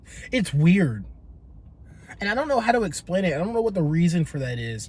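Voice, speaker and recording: A man at a fairly quick pace with very wide pitch swings. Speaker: podcast host. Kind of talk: casual chat. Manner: pitch jumps high when excited; lackadaisical.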